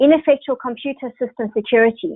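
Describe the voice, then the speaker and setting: A woman's high voice at a fairly quick pace, its pitch variation ordinary. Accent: South African. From South Africa. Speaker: software sales executive. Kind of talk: webinar presentation. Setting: online webinar.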